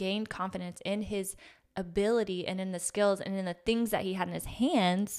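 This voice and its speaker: At a moderate pace, a woman talks in a plain, everyday voice with medium pitch and fairly even intonation, on a very clean recording with a silent background. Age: 30s. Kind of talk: faith-based casual conversation.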